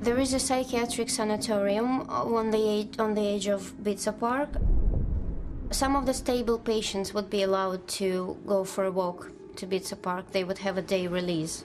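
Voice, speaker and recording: Music plays in the background as a woman speaks at a moderate pace. Her medium-pitched voice has ordinary pitch variation. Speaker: investigative journalist. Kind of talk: documentary interview.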